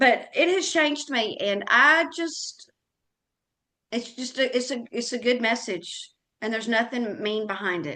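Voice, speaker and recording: Loud and bright with a sharp tone, a woman speaks at a high pitch with an American accent, using lively intonation at a fairly slow pace. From US South. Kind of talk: interview conversation. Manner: animated.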